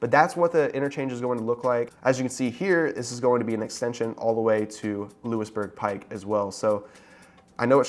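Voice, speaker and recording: The delivery is fairly quick. Pitch shifts in an ordinary manner. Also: man. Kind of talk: explainer vlog commentary. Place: office. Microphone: lapel.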